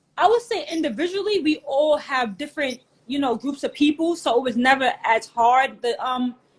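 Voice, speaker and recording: With a New York accent, a woman speaks at a high pitch with lively intonation. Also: moderate pace. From New York, Queens. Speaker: hat collector and community co-founder. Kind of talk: interview. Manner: casual.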